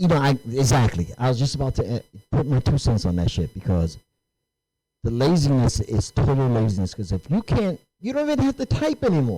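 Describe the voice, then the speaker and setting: A man with a medium pitch and a dark, mellow, somewhat breathy tone talks at a fairly quick pace with very wide pitch swings. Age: 60s. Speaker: podcast host. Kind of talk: casual discussion.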